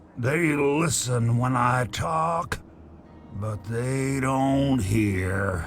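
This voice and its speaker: A man uses a put-on character voice at a medium pitch and a very slow pace. Clear background noise can be heard. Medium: video game. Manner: casual, chatty.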